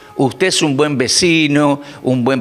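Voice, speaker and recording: Noticeable background noise surrounds a man speaking. He goes at a very slow pace with ordinary pitch variation. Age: 60s. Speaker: preacher. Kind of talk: sermon.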